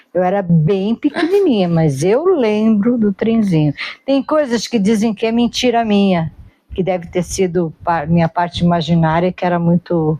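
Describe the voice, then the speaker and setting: Medium-pitched for a woman, her dark, mellow, somewhat breathy voice moves at a moderate pace with lively intonation and very even loudness, in a dry, close sound with no echo. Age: 60s. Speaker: interviewee sharing life memories. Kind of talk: casual conversational interview.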